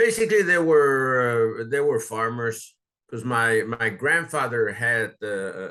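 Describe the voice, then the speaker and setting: With a bright, sharp tone, a man of medium pitch talks at a fairly slow pace and uses ordinary pitch variation. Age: 70s. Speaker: oral history interviewee. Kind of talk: oral history interview. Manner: halting, many fillers.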